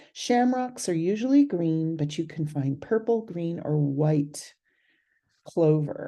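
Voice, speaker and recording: With a Californian accent, a woman talks at a very slow pace in a fairly low pitch and a dark, mellow tone. Her pitch swings very widely over a quiet background. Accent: California. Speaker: herbal medicine instructor. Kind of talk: educational video talk.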